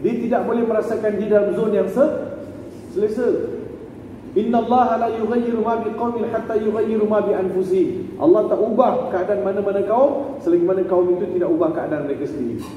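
In a room with audible echo and light background noise, a man with a Malaysian accent talks fairly quickly in an animated tone, pitched high, with ordinary pitch variation. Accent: Malaysian Malay. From Selangor, Malaysia. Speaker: preacher giving a religious talk. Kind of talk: religious lecture with personal anecdotes. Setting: stage with audience. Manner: animated, humorous storytelling. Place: hall.

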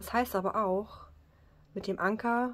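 Here a woman is speaking. Her pace is fairly slow. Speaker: card reader. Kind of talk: card reading commentary. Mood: calm, warm. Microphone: phone near.

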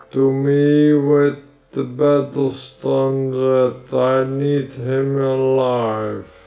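The pace is very slow. A man delivers it all in a put-on character voice. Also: medium pitch for a man. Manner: slow, regal, commanding.

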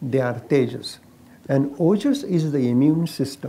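A man's dark, mellow voice, fairly high in pitch, at a fairly slow pace with an Indian accent. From India, Maharashtra. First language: Marathi. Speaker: Ayurvedic doctor; interviewee. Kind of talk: casual chat. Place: garden. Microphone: lapel.

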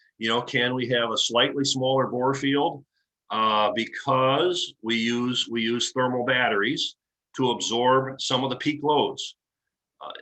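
In a normal speaking voice with an American accent, the speaker talks at a fairly slow pace with fairly even intonation. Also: man, medium pitch for a man. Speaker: engineering committee chairman. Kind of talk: presentation.

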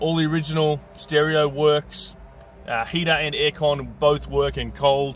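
Over faint music in the background, a man speaks at a fairly slow pace, with a dry sound and no echo. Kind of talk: sales walkaround commentary. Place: street. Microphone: phone near.

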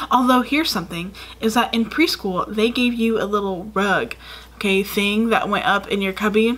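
Ordinary pitch variation at a moderate pace. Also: woman, fairly high pitch for a woman. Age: 20s. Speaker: YouTuber; vlogger. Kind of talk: casual vlog storytelling. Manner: rambling with many fillers. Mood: amused, storytelling. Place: home room.

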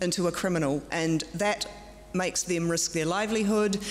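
A woman speaks at a moderate pace with ordinary pitch variation. Faint background noise can be heard.

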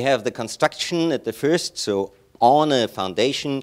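A man with a German accent talks at a moderate pace and medium pitch against a quiet background. His pitch swings are very wide. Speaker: chairman of a straw bale building network. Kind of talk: conference presentation. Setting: stage with audience. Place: hall.

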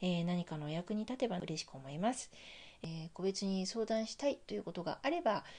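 An ordinary speaking voice that moves at a fairly quick pace. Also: woman, medium pitch for a woman, lively intonation. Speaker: life coach and healer. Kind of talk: monologue film commentary. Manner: frequent fillers, measured pace.

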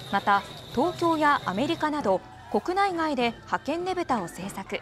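Music plays in the background. The speech moves at a fairly slow pace, with very wide pitch swings. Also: woman, high pitch for a woman. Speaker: news announcer. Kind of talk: TV news narration.

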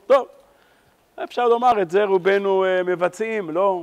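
The background is quiet. A man speaks at a high pitch. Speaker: religious teacher. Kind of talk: lecture. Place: church. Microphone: lapel.

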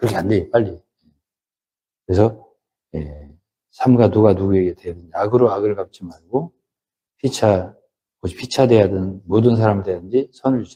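Somewhat breathy and dark, mellow in tone, a man's fairly low voice moves at a moderate pace with long, frequent pauses, ordinary pitch variation and big swings in loudness. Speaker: pastor. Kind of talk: sermon. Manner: conversational, emphatic.

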